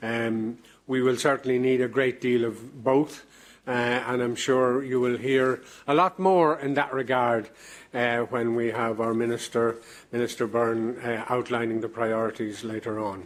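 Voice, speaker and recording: With an Irish accent, a man speaks at a medium pitch and a fairly slow pace, keeping his intonation fairly even. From Ireland. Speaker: president of an EU advisory committee chairing a plenary. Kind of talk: formal opening address at a plenary session. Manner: hesitant, many filler sounds.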